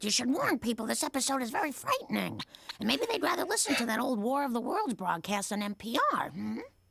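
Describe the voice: A woman's cartoonish character voice, high-pitched and very fast.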